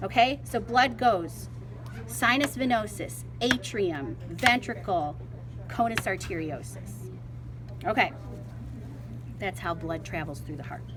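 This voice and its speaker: A woman with a Midwestern US accent at a fairly slow pace, with long, frequent pauses, big swings in loudness, audible room echo and noticeable background noise. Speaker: biology teacher. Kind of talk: classroom dissection demonstration. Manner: casual, conversational.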